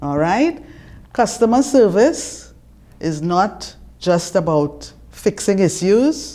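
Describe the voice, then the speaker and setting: A woman's dark, mellow voice at a medium pitch, with very wide pitch swings, a very slow pace and long, frequent pauses. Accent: Trinidadian. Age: 70s. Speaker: retired customer relations manager. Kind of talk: interview; reading aloud.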